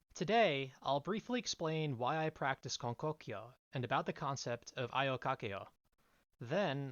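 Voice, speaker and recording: Moderate pace and an American accent in a plain, everyday voice. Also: man. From US Northeast, coastal New Jersey. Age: 20s. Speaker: lay preacher. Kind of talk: sermon. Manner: formal.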